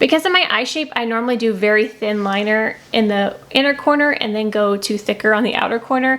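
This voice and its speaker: A woman with a fairly high voice talks at a very fast clip over noticeable background noise. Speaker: beauty vlogger. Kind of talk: product review vlog. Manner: casual, filler-heavy.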